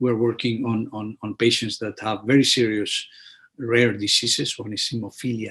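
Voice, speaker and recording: The voice is bright and sharp in tone, with vocal fry. It carries a Spanish accent. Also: man. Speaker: physician and immunologist. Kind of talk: webinar presentation. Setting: online webinar. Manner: halting, many repetitions and fillers.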